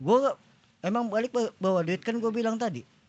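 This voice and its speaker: A man is speaking. His pace is fairly quick. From Cimanggis, West Java. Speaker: former night-market ride crew worker. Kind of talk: casual podcast interview.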